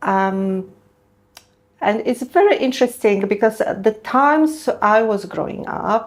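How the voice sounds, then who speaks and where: Very slow female speech in a Polish accent, fairly high in pitch with ordinary pitch variation. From Poland. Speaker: dentist, prosthodontist. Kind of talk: interview podcast.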